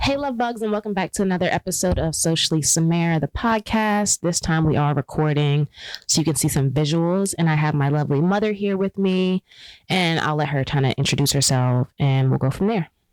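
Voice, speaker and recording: In a very clean recording with a silent background and a dry, close sound with no echo, a woman with a normal speaking voice talks at a fairly quick pace, her fairly low pitch carrying lively intonation at very even loudness. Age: 30s. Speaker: podcast host. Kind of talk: casual podcast chat. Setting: video podcast recording.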